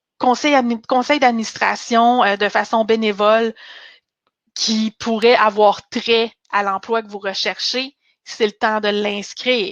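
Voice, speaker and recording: A woman's fairly high voice at a very slow pace, over a quiet background. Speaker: career coach and recruiter. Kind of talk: webinar presentation. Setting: online webinar.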